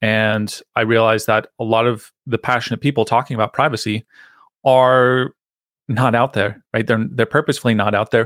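A man with a plain, everyday voice speaks at a moderate pace and medium pitch, his intonation fairly even and his loudness very even, in a very clean recording with a silent background and a dry, close sound with no echo. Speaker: privacy consultant and podcaster. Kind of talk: casual interview chat.

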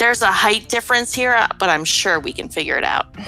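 A female-sounding, raspy put-on character voice comes at a fairly high pitch. It races along at a very fast pace over faint background music. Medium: actual play. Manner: warm, good-humored.

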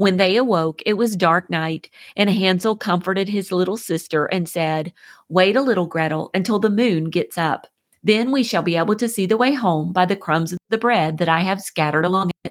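With a plain, everyday voice, a woman speaks at a medium pitch and moderate pace with ordinary pitch variation, in a very clean recording with a silent background and a dry, close sound with no echo. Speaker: podcast host. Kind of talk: fairy-tale narration, read aloud to children. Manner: storyteller pace, gentle, even.

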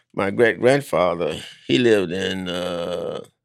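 There is vocal fry in this man's very deep, low pitch. His intonation is lively. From US South, Alabama. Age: 90s. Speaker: elder storyteller, civil rights activist. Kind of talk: elder's rambling oral-history reminiscence of childhood. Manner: meandering, folksy, peppered with 'you know' and chuckles; halting, repeats and restarts phrases.

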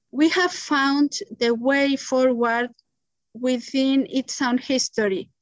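A woman's high voice with a Spanish accent, at a very slow pace over a quiet background. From Mexico City. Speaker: economist and community currency promoter. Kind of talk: interview. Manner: halting.

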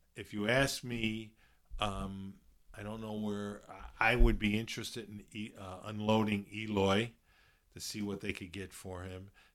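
A man with a Chicago accent, fairly low pitch, monotone, flat intonation, big swings in loudness and a fairly slow pace, on a very clean recording with a silent background. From Chicago, South Side. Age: 60s. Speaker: baseball fan and former college player. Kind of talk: casual chat.

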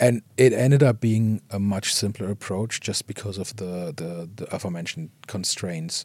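A man with a German accent, fairly low-pitched, at a moderate pace with hardly any pauses, ordinary pitch variation and big loudness swings, on a very clean recording with a silent background. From Germany. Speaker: visual effects artist. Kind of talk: interview.

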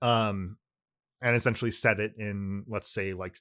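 A man speaks in a flat monotone at a fairly slow pace, his pitch fairly low. The recording is very clean, with a silent background. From California, US. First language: Japanese. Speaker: podcast co-host. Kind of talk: casual chat.

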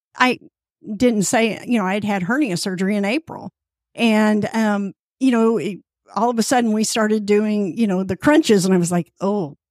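Recorded dry and close with no echo, an ordinary speaking voice moves at a moderate pace with ordinary pitch variation. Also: woman, fairly high pitch for a woman. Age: 60s. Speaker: fitness group member. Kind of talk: interview.

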